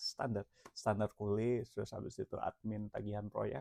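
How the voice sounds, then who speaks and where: The speaker is relaxed, with a dark, mellow tone and monotone, flat intonation at a fairly slow pace. The sound is dry and close with no echo over a quiet background. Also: man. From Jakarta, Indonesia. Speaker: entrepreneur vlogger. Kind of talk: casual self-introduction vlog. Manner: relaxed, casual; hesitant, many fillers.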